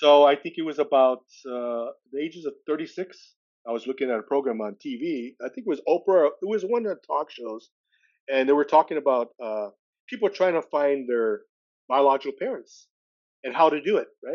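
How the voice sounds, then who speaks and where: A man speaks with a Californian accent. His pitch sits fairly high, and his pace is fairly quick. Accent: Californian American English. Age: 60s. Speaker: adoptee and recovery advocate. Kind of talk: interview testimony. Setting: podcast interview. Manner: halting, many fillers and restarts.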